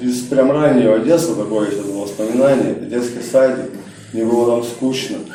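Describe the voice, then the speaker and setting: There is audible room echo and noticeable background noise as a man with a medium pitch speaks at a moderate pace. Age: 30s. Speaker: recovering alcoholic speaker at support group. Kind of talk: testimony. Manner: casual, slangy.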